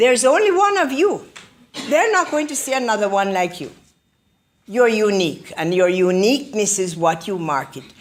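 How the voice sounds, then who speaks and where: A woman's fairly high voice in a Jamaican accent, with very wide pitch swings. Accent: Jamaican, retained. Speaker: motivational speaker. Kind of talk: motivational speech. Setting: public library talk with audience.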